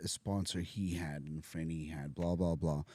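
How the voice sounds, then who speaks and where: A man speaks with a South African accent. His tone is dark and mellow. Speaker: podcast guest in recovery. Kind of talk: casual chat. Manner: animated.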